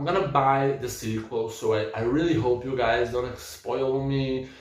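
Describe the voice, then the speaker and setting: A man with a non-native accent speaks at a fairly slow pace, his pitch medium and its variation ordinary. The room echo is audible and there is noticeable background noise. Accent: non-native English speaker. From Brazil. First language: Portuguese. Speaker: book vlogger. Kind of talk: casual book review rant. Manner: halting, repeating words.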